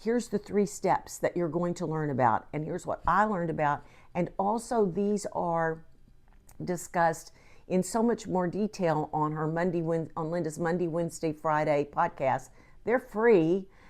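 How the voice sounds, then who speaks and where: This woman has an unremarkable speaking voice, fairly low in pitch, with ordinary pitch variation and a fairly slow pace. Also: quiet background. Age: 60s. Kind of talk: casual talk to camera.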